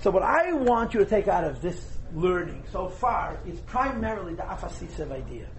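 Audible room echo and noticeable background noise around a man's speech. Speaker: Torah teacher. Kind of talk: lecture. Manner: whispering.

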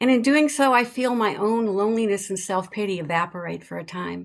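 At a moderate speed, a woman talks in a medium pitch with an unremarkable speaking voice. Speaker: storyteller. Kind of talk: storytelling performance.

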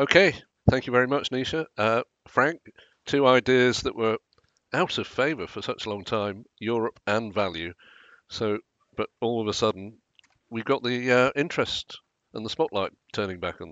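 The speaker talks at a moderate pace with ordinary pitch variation, big swings in loudness and long, frequent pauses. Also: man, medium pitch for a man. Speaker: podcast host. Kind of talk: casual professional discussion. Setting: remote video call.

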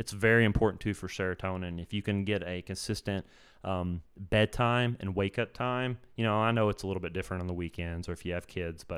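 On a very clean recording with a silent background, a man with a fairly low pitch talks at a fairly quick pace and ordinary pitch variation. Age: 30s. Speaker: wellness podcast host and coach. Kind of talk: solo podcast monologue. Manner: casual, halting with fillers.

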